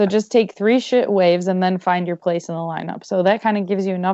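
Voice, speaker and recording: In an American accent, a woman with an unremarkable speaking voice talks at medium pitch with fairly even intonation. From Michigan. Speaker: podcast host. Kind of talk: casual interview.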